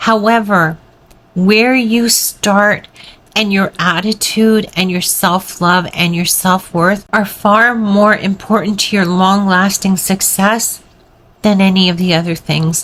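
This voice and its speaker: A woman speaks at a very slow pace. Her voice sits at a medium pitch, and her intonation is fairly even. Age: 60s. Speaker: weight loss vlogger. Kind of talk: motivational talk to camera.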